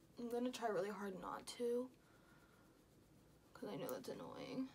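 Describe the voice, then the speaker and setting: A woman speaks at a moderate pace in a high pitch, with ordinary pitch variation. Noticeable background noise is present. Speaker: beauty vlogger. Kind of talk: tutorial. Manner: animated.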